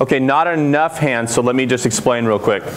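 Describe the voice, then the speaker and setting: At a very fast pace, a man speaks at medium pitch with ordinary pitch variation, amid noticeable background noise and audible room echo. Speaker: CRM consultant, conference speaker. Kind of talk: conference talk. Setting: conference room with audience. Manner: loud.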